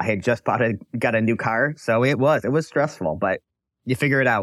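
In a very clean recording with a silent background and a dry, close sound with no echo, a man speaks at medium pitch with ordinary pitch variation in a plain, everyday voice. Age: 40s. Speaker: recruitment business owner. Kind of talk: interview.

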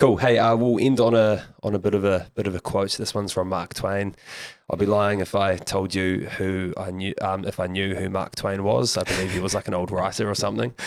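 On a very clean recording with a silent background, a man with a New Zealand accent talks fairly quickly in a fairly low pitch with fairly even intonation. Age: young. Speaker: podcast host. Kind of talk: casual chat.

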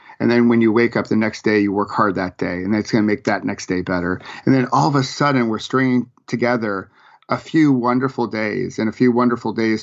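In an American accent, a man with an unremarkable speaking voice talks at a fairly quick pace, medium in pitch, with fairly even intonation. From western New York (Rochester). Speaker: executive business coach and author. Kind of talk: interview.

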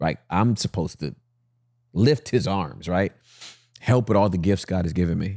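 A man with a very deep, low pitch and a dark, mellow tone speaks at a moderate pace with ordinary pitch variation and long, frequent pauses, in a dry, close sound with no echo. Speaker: pastor. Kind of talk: casual chat.

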